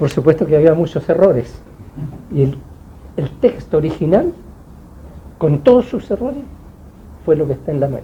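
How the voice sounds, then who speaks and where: Pausing long and often, a man talks at a moderate pace with a fairly high pitch and lively intonation. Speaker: author. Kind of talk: book launch talk. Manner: halting.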